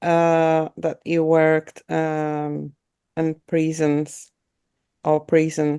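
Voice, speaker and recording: A woman with a non-native accent talks very slowly in a fairly low voice. The tone is dark and mellow, the sound dry and close with no echo, and the background is quiet. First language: not English. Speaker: art student. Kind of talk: audience question. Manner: halting.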